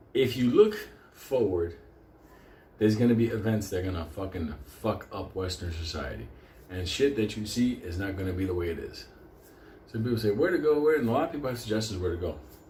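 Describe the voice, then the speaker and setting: With audible room echo, a man speaks at a fairly quick pace in an animated tone. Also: fairly low pitch for a man, lively intonation. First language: Spanish. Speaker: storyteller. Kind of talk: casual storytelling monologue.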